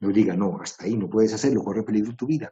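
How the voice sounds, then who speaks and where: A man's voice, somewhat breathy. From Colombia. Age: 60s. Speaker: writer and composer giving a talk. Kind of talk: talk.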